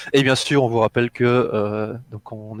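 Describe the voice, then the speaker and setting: The voice carries a slight Belgian accent, recorded with a dry, close sound with no echo. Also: man. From Belgium, Brussels. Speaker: gaming streamer, video assistant. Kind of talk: casual chat.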